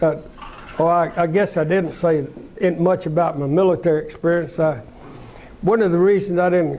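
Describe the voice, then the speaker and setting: With an Arkansas accent, a man speaks in a high voice at a moderate pace, with fairly even intonation, very even loudness, long and frequent pauses, and noticeable background noise. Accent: Southern US (Arkansas). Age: 80s+. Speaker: businessman, car dealer. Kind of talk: talk to an audience, personal story. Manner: halting, many repeats.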